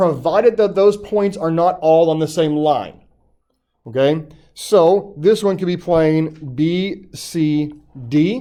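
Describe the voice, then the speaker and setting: A man talks very slowly with a dark, mellow tone at a high pitch. The room echo is audible. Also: ordinary pitch variation. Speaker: high school math teacher. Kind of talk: classroom lecture. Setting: classroom live-stream.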